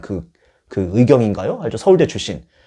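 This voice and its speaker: Over a quiet background, a dark, mellow voice moves at a fairly quick pace. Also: man. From Chungcheong, South Korea. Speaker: youth pastor. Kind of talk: sermon. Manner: animated.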